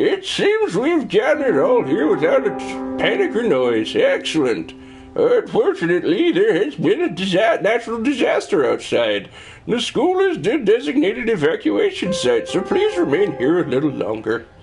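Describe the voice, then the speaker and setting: A man puts on a high-pitched character voice at a moderate pace. Clear music plays in the background. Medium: actual play. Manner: formal, official.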